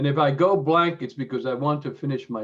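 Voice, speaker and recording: Vocal fry marks this man's medium-pitched voice, which moves at a fairly quick pace with lively intonation. The background is quiet. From Cuba. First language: Spanish. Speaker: former chair of a professional association. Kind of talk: online meeting remarks. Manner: halting, many fillers.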